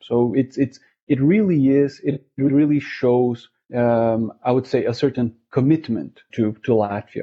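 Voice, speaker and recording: Speaking with a Portuguese accent, a man talks at a fairly slow pace. His pitch is medium, with ordinary variation. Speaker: interviewee, language learner. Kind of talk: interview. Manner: hesitant, many fillers and repeats.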